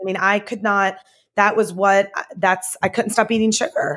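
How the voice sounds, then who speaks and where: Recorded very cleanly against a silent background, a woman uses a normal speaking voice at medium pitch and a moderate pace. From US South. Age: 40s. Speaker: chef and cafe owner. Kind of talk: casual interview chat.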